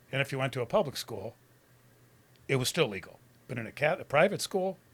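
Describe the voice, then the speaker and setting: Very fast and lively in intonation, a man speaks with an American accent in a fairly high, somewhat breathy voice. The recording is very clean, with a silent background. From Detroit, US Midwest. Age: 70s. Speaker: recovering addict telling life story. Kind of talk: interview testimony.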